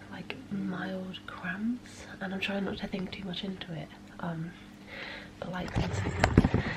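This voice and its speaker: A quiet woman speaks very slowly, her intonation fairly even. Noticeable background noise and audible room echo come through. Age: 20s. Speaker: vlogger. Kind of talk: casual vlog.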